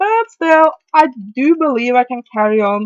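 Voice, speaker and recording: A woman speaks in a high pitch with a strong Norwegian accent, the sound dry and close with no echo. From Norway. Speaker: video reviewer. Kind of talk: casual movie review monologue. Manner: halting, many fillers.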